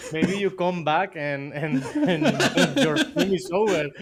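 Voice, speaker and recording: Noticeable background noise sits behind a man talking with a Spanish accent. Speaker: miniature painter. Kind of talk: live stream tutorial. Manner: halting.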